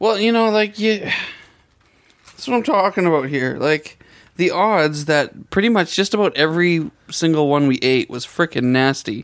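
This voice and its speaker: The speaker moves at a moderate pace. The intonation is lively. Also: man, high pitch for a man. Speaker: podcast host. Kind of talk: casual chat. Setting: studio.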